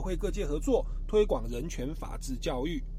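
A man's voice with audible room echo. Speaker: radio host. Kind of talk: radio talk show interview.

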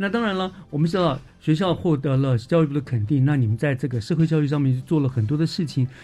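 A man talks at a very fast pace, with hardly any pauses, over music in the background. His pitch is fairly high and his intonation lively. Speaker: radio host. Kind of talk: radio interview.

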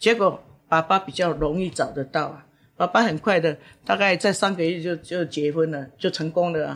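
Heard in a very clean recording with a silent background, a woman with an ordinary speaking voice talks at a moderate pace with fairly low pitch and ordinary pitch variation. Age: 60s. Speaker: professional matchmaker. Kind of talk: interview. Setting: on location at her matchmaking agency.

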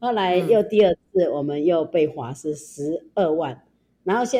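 This woman's voice sits fairly low and has a dark, mellow tone. She talks at a moderate pace with lively intonation. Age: 60s. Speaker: shelter founder. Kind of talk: interview.

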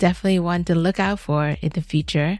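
At a fairly quick pace, a woman speaks in a plain, everyday voice, fairly low in pitch with ordinary pitch variation. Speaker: bilingual radio host. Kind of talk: bilingual radio talk show. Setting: radio studio. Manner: upbeat, laughs often.

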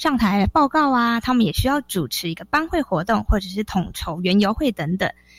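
In a very clean, dry, close recording with a silent background and no echo, a woman talks at a fairly quick pace and fairly high pitch, somewhat breathy, with very wide pitch swings. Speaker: teacher. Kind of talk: radio interview. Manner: crisp, precise enunciation.

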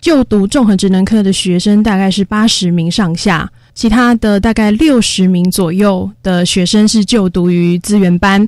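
In a very clean recording with a silent background, a woman with a plain, everyday voice talks at a moderate pace, her pitch medium and her pitch variation ordinary. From Taiwan, Taoyuan. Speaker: special education teacher. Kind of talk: radio interview.

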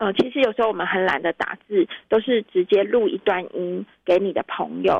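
This woman has a Taiwanese accent. Her pitch varies in an ordinary way. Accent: Taiwanese Mandarin. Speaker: fact-check editor. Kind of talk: interview. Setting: remote call-in.

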